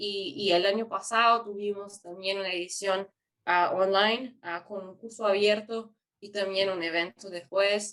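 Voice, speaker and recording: A woman's bright, sharp voice at medium pitch, monotone and flat, fairly slow, with a Portuguese accent. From Brazil. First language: Portuguese (speaking Spanish). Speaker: youth forum organizer. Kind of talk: webinar presentation. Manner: halting.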